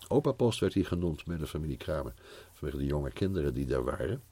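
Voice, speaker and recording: A man's dark, mellow voice with vocal fry. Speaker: Bible teacher. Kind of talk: improvised personal testimony. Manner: halting.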